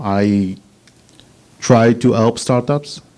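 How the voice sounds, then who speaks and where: A man speaks with an Israeli accent at medium pitch. His pitch variation is ordinary. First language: Hebrew. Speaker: patent attorney, startup consultant. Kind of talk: business presentation. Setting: meetup with live audience.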